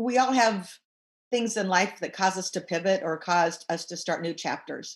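A woman speaks at a medium pitch and a moderate pace, somewhat breathy. Her pitch varies in an ordinary way against a quiet background. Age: 60s. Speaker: business coach. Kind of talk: interview.

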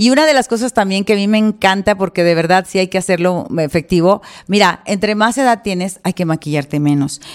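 Lively intonation marks a normal speaking voice moving at a fairly quick pace with hardly any pauses. The recording is very clean and the background silent. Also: woman, medium pitch for a woman, dry, close sound with no echo. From Mexico, Monterrey. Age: 60s. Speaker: celebrity stylist and salon owner. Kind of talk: casual interview.

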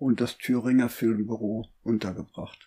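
A man speaks very slowly in a dark, mellow tone. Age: 70s. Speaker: podcaster. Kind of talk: scripted narration.

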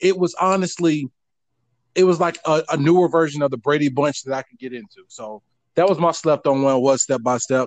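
A man with an American accent and a normal speaking voice talks at a fairly quick pace in a fairly high pitch, with ordinary pitch variation and big swings in loudness, captured in a dry, close sound with no echo. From North Florida. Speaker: podcast host. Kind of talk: casual chat.

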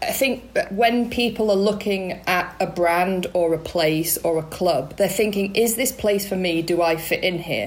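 A woman speaks at a fairly slow pace with hardly any pauses, in a normal speaking voice. Her pitch is medium with ordinary variation, and her loudness is very even. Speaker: cyclist, club rider.

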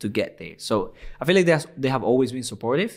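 Spoken with a Spanish accent, the recording is very clean with a silent background. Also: man. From Venezuela. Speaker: football gaming YouTuber. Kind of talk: interview. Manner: animated.

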